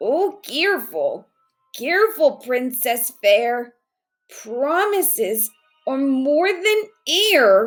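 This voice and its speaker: In a put-on character voice, a woman speaks raspily at a very slow pace. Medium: read story. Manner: timid, gentle.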